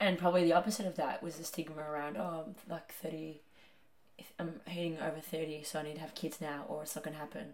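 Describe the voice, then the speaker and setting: With a very deep, low pitch, a woman talks in fairly even intonation while her loudness swings widely. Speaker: podcast co-host. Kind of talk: casual chat.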